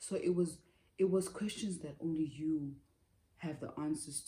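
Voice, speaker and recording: A woman with a very deep, low pitch and a dark, mellow tone speaks somewhat breathily with fairly even intonation. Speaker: lifestyle vlogger. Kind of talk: personal vlog monologue. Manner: chatty, talkative.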